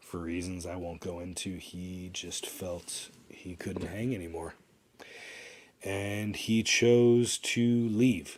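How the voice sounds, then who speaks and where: Talking at a very slow pace, the speaker shows ordinary pitch variation and big swings in loudness. The recording is very clean, with a silent background. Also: man, very deep, low pitch for a man. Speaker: podcaster. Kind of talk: casual monologue. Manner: halting, many fillers; trying to talk slower.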